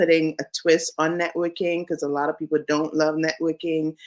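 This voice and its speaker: A woman's very deep, low voice with a Caribbean accent, on a very clean recording with a silent background. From Saint Vincent and the Grenadines. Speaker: career coach, business founder. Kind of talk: interview.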